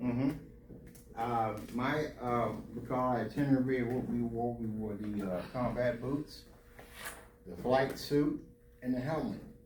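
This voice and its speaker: A man at medium pitch with fairly even intonation, a fairly slow pace, long, frequent pauses and audible room echo. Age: 80s+. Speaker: Air Force veteran and pastor. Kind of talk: Q&A talk to students.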